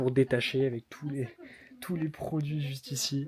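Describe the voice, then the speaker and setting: A man talks at a moderate pace in a medium pitch. His tone is dark and mellow, with fairly even intonation. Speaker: YouTuber covering reselling business. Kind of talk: vlog commentary. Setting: in an office/storage premises. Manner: hesitant fillers; soft-spoken.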